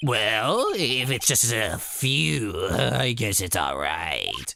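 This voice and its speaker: With clear background noise behind him, a man puts on a character voice and talks at a very slow pace. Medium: game stream. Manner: haughty, defensive.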